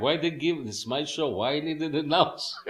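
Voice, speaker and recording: A man talks with a strong Israeli accent. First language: Hebrew. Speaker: musician. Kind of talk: interview. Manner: halting.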